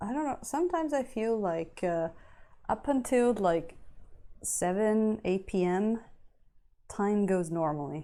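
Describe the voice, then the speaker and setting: Very slowly, a woman speaks at a medium pitch with a dark, mellow tone, captured in a very clean recording with a silent background. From Italy. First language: Italian. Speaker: miniature painter streamer. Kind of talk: casual live-stream chat. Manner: hesitant, searching for words.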